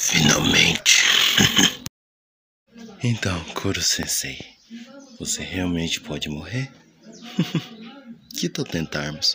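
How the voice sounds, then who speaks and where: Using a put-on character voice, a man speaks very deep and raspy at a fairly slow pace, with long, frequent pauses. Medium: dub.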